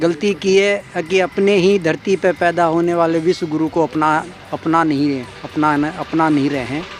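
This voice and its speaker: Against noticeable background noise, a man speaks with a high pitch and fairly even intonation. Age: 60s. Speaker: pilgrim on a tour. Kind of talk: interview remarks.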